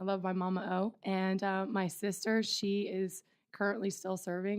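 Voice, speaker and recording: A woman with a medium pitch talks while music plays behind her. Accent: Midwestern US. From Ohio. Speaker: wrestling coach. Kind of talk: casual interview.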